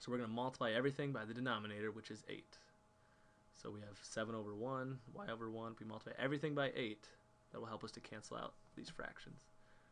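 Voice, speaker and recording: A man at a medium pitch, with a very fast pace and fairly even intonation. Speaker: math teacher. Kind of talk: tutorial. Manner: casual.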